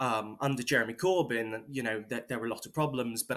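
With a British accent, a man talks at a medium pitch. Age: 20s. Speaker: political activist. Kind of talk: interview. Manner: halting.

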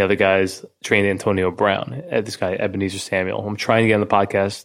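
Delivered at a fairly quick pace with fairly even intonation, a plain, everyday voice comes through over a quiet background. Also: man. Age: 30s. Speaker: podcast host. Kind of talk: casual interview chat. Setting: in person studio.

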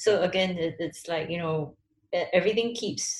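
A woman's unremarkable speaking voice, fairly low in pitch, at a fairly slow pace with ordinary pitch variation. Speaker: creative strategy lead. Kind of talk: panel discussion. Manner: casual, filler-heavy.

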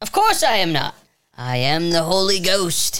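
This female-sounding voice, medium in pitch for a woman, is a put-on character voice delivered at a moderate pace. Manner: mock-solemn.

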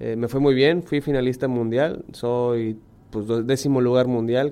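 A man speaks in a medium pitch. His intonation stays fairly even. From Mexico, Monterrey. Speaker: professional diver. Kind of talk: interview. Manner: halting.

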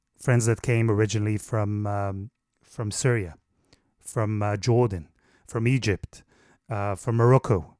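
Fairly slow, with long, frequent pauses, a man with an Israeli accent, fairly low pitch and fairly even intonation, in a dry, close sound with no echo and a very clean recording with a silent background. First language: Hebrew. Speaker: foreign correspondent journalist. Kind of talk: interview. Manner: halting with frequent repetitions.

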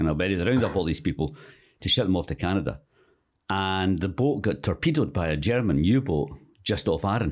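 In a very clean recording with a silent background, a man with a very deep, low pitch talks at a fairly quick pace, his intonation lively and his loudness very even. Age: 60s. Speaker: author and screenwriter. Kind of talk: casual interview chat. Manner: halting, many fillers.

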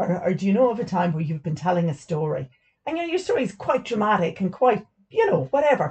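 A woman with an Irish accent and very wide pitch swings. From Ireland. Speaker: stay at home mum, full time carer and podcast host. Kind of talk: casual chat. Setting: utility room recording.

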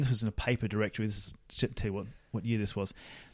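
This is a male voice. Everything is very clean, and the background is silent. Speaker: podcast host. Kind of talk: casual chat.

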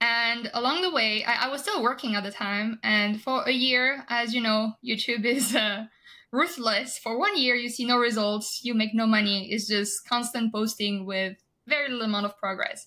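A woman speaks at a moderate pace with a fairly high pitch, a bright, sharp tone and ordinary pitch variation, on a very clean recording with a silent background. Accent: French. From France. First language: French. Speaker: health and wellness guest. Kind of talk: interview.

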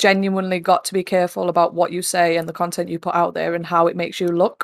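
A very fast woman's voice, fairly low in pitch, with a monotone, flat delivery in an East Midlands accent. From East Midlands, England. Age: 20s. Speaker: streamer and soldier. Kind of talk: casual interview.

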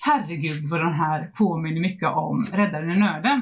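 A woman speaks over noticeable background noise. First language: not English (Swedish podcast) (speaking Swedish). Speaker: book podcast host. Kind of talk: casual chat.

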